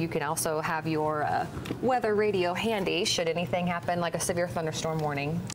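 Over light background noise, a woman with an American accent talks at a very fast pace with lively intonation. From United States. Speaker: TV weather and traffic anchor. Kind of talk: TV weather broadcast. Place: studio. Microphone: lapel.

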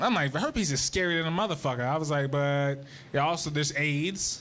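At a fairly quick pace, a man talks with ordinary pitch variation over light background noise. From United States. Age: 20s. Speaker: stand-up comedian. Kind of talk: stand-up comedy. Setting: stage with live audience. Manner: Rowdy crowd-work, barking orders at the audience to make noise. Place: stage. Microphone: handheld.

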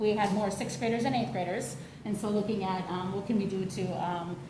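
A woman's fairly high voice at a very fast pace, with audible room echo and noticeable background noise. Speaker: school district administrator. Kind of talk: presentation to school board. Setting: school board meeting.

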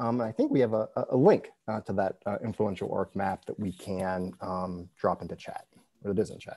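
With an American accent, a man speaks at a moderate pace in a fairly low pitch, his tone dark and mellow, intonation fairly even, loudness swinging widely, and the sound dry with no echo. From West Virginia, north central. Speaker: author and law librarian; interviewee. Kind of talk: interview. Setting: video call. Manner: hesitant, many fillers and repetitions. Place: home room. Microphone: earbuds.

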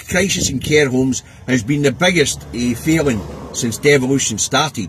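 A man speaks with a Scottish accent at a fairly slow pace. His pitch is medium with ordinary variation, over light background noise. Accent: Scottish (Angus). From Scotland. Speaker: political vlogger, truck driver. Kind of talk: casual political commentary monologue. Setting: in a truck cab. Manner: informal, hesitant with many fillers. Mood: exasperated, animated. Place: car. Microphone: phone near.

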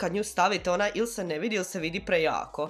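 A woman's plain, everyday voice, fairly low in pitch, with ordinary pitch variation. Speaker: beauty vlogger. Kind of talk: casual product review chat. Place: home room. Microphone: camera far.

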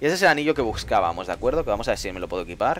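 A man speaks at a very fast pace with a Castilian accent. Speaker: gaming streamer. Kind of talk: live gameplay commentary. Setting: live stream. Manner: animated.

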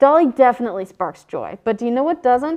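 A woman speaks with lively intonation and a high pitch. The background is quiet. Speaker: student comedy show host. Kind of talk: comedic monologue and sketch interview. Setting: studio. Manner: sarcastic, irreverent. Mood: playful, jokey. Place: studio.

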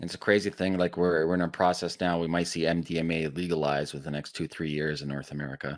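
Against a quiet background, a man with a Canadian accent speaks very fast with hardly any pauses, in a very deep, low voice and monotone, flat intonation. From Canada. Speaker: podcast host. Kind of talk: casual interview. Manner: profane, laughs often. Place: home room. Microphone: studio mic.

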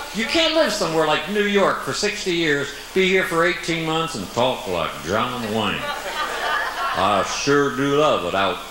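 A man speaks at a fairly slow pace amid noticeable background noise and audible room echo. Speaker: comedian. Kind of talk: stand-up comedy monologue. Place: stage.

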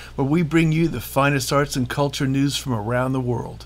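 Fairly high in pitch with fairly even intonation, a man has an ordinary speaking voice. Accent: American. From Southern California. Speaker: online arts show host. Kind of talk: casual chat; scripted narration.

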